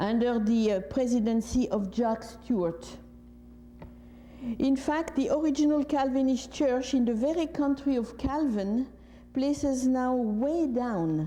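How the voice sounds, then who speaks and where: Speaking with a French accent at a high pitch, a woman talks at a fairly slow pace with ordinary pitch variation and very even loudness, heard with audible room echo. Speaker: retired professor. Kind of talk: lecture.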